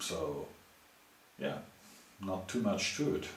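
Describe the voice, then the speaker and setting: With a German accent, a man speaks at a fairly slow pace amid audible room echo and noticeable background noise. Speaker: machinist and YouTuber. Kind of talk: Q&A video answering viewer questions. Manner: halting, many fillers and restarts; casual.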